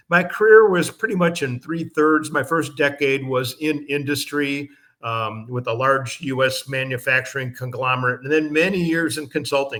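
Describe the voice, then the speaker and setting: A man's bright, sharp voice in an American accent, fairly high in pitch, with ordinary pitch variation and a moderate pace. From US Midwest, Chicago. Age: 70s. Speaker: management consultant and speaker. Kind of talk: lecture.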